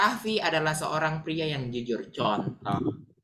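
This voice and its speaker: Speaking very slowly, a man with a strong Sulawesi accent uses lively intonation. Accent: thick Sulawesi accent in Indonesian. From Sulawesi, Indonesia. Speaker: English teacher. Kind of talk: online English lesson.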